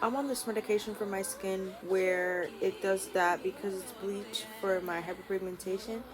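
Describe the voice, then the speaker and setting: Noticeable background noise under a woman's medium-pitched voice. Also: ordinary pitch variation, moderate pace, hardly any pauses. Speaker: YouTuber. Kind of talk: casual advice chat to camera.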